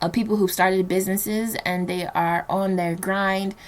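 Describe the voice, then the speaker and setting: A woman with a New Jersey accent speaks at a moderate pace and medium pitch, her intonation monotone and flat. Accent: American, New Jersey. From New Jersey, Nigerian household. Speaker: podcast host. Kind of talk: solo podcast monologue. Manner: casual, many fillers.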